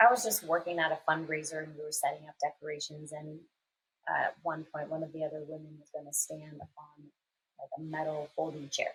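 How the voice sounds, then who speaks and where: This woman's voice is very deep and low, somewhat breathy, with fairly even intonation and big swings in loudness. She talks at a fairly quick pace. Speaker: podcast co-host. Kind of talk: casual chat. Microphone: poorly set up microphone.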